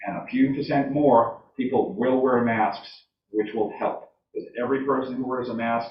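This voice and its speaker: The speaker is a man with a medium-pitched voice. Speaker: town selectman. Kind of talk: public meeting debate. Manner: loud.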